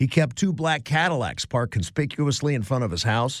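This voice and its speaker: An unremarkable speaking voice belongs to a man with an American accent at medium pitch. He moves at a fairly quick pace with lively intonation on a very clean recording with a silent background. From US Midwest, Cleveland. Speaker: radio host. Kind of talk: talk radio. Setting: studio.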